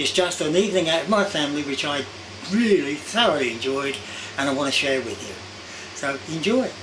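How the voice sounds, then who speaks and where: There is noticeable background noise. A man speaks at a fairly quick pace. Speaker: vlogger. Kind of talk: casual vlog chat. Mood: warm, enthusiastic. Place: home room.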